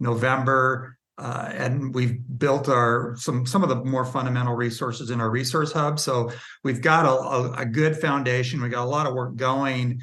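Medium in pitch, a man's voice has a bright, sharp tone. He keeps a moderate pace with monotone, flat intonation. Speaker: industry group executive. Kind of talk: casual interview chat.

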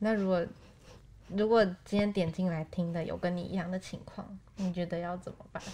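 A woman's medium-pitched, dark and mellow voice, monotone and flat, at a fairly quick pace broken by long, frequent pauses. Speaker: podcast co-host, news reporter. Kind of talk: casual chat.

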